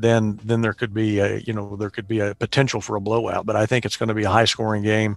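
A man at a fairly low pitch, talking at a fairly quick pace against a quiet background. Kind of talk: casual chat. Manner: hesitant with fillers.

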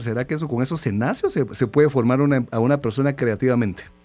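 A man talks very fast at medium pitch with music in the background. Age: 40s. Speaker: radio host. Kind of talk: radio interview. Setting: radio studio.

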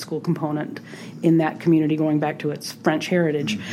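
Moderate-paced speech from a woman with a fairly low pitch, over noticeable background noise. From US South, New Orleans. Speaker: state senator. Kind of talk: interview.

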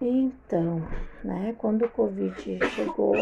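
A woman's very slow speech comes through noticeable background noise. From southern Brazil, Rio Grande do Sul. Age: 40s. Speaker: host's mother-in-law, homemaker. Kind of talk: casual interview.

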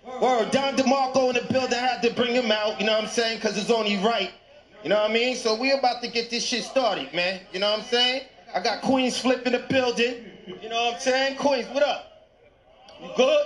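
Over noticeable background noise, a man talks at a fairly quick pace in an animated tone with an extremely high pitch. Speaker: event host and announcer. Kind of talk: ring announcer, hyping crowd. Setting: live event with audience. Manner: loud, animated, excitable, hype.

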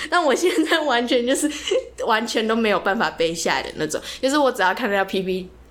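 Over noticeable background noise, a woman with a fairly high voice talks at a fairly quick pace, her pitch swinging very widely. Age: 20s. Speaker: podcast co-host, student. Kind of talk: casual chat.

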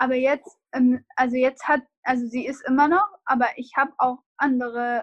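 A woman speaks at a high pitch and a fairly slow pace, with fairly even intonation. The sound is dry and close, with no echo. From Iraq. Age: 20s. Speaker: refugee and law student. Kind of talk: interview.

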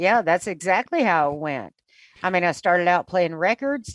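An unremarkable speaking voice from a woman with an American accent, fairly low in pitch, with lively intonation, over a quiet background with a dry, close sound with no echo. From US South. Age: 60s. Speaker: radio morning host. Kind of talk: interview.

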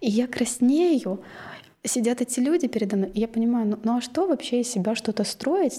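The voice has a dark, mellow tone, very even loudness and ordinary pitch variation. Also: woman. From Kazakhstan, Ridder (small mining town). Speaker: coach. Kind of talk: casual interview.

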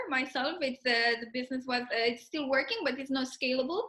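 The voice is raised and projected, in a Spanish accent. Its pitch varies in an ordinary way. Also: woman. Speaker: podcast host, product owner. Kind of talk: casual interview. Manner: halting.

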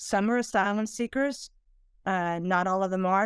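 Recorded very cleanly with a silent background, a woman speaks at medium pitch and a moderate pace, her pitch varying in an ordinary way. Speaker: retired FBI agent and corruption investigator. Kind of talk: interview. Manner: halting with many fillers.

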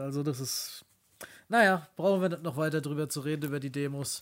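This man has a normal speaking voice, fairly high in pitch, moving at a fairly quick pace with fairly even intonation. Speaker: podcast co-host. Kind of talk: casual chat.

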